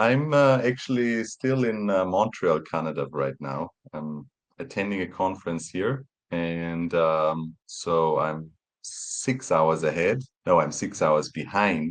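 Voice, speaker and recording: A man with a German accent speaks very slowly in a very deep, low voice, his intonation lively against a quiet background. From Austria, small town near Vienna. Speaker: professor of road engineering. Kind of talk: podcast interview. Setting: remote recording, away at a conference. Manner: halting, many repeated words.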